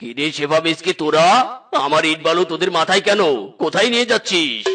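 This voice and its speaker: A man uses a cartoonish character voice pitched high. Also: moderate pace. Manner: gruff, commanding.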